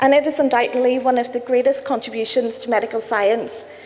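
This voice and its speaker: A woman's high voice with ordinary pitch variation, amid noticeable background noise and audible room echo. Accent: Belfast. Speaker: cancer researcher. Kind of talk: conference talk. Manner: fast.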